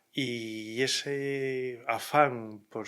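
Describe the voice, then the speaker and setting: A man speaks at medium pitch with a bright, sharp tone. His intonation is monotone and flat. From Spain, Murcia. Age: 60s. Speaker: lawyer. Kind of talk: interview. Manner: measured, hesitant.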